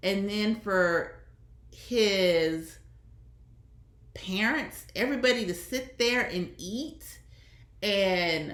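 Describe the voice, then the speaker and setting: A woman with a medium-pitched voice speaks in a Southern US accent with vocal fry. Her intonation is lively, and room echo is audible. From US Deep South. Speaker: online commentator, former teacher. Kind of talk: casual commentary monologue.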